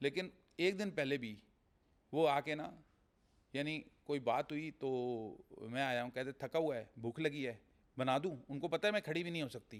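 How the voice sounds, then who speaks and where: This man has an unremarkable speaking voice. His pitch is fairly high, with ordinary variation. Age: 60s. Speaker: real estate businessman. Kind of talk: podcast interview.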